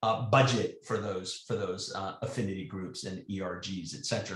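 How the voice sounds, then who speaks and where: The voice is somewhat breathy. It runs on with hardly any pauses. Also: man. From Spain. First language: Spanish. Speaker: tech sales executive. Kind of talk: panel discussion. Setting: webinar. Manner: halting.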